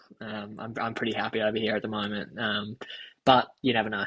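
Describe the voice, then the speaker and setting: With an Australian accent, a man speaks fairly quickly in a fairly low, monotone, flat voice. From Australia, Alice Springs. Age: 20s. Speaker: professional runner. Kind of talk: casual chat.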